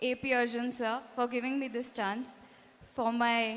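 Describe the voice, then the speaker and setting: A woman with a non-native accent speaks at a high pitch in a monotone, flat intonation. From Mumbai, India. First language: not Kannada (speaking Kannada). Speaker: film actress. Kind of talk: public speech at film promotion event.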